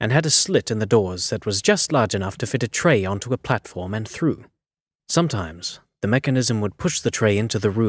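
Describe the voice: Someone reads aloud plainly, their intonation full of life. All is quiet behind them.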